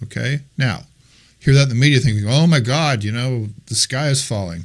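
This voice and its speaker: A man speaks at a medium pitch with ordinary pitch variation and a moderate pace. The recording is very clean with a silent background, and he has a plain, everyday voice. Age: 60s. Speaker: real estate trainer. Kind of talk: masterclass talk to a group. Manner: casual and conversational.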